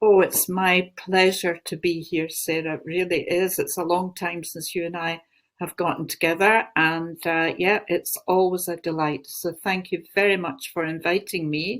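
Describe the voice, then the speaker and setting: With a Glaswegian accent, a woman talks at a moderate pace and medium pitch in a very clean recording with a silent background. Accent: Glaswegian Scottish. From Scotland, Glasgow. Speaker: spiritual teacher and channeler. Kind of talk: interview talk.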